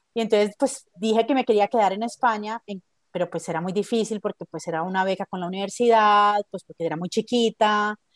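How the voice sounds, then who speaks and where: In an ordinary speaking voice, a woman talks at a fairly quick pace with hardly any pauses, medium pitch and ordinary pitch variation, the sound dry and close with no echo. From Colombia, Medellín. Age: 40s. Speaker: book editor. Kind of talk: interview.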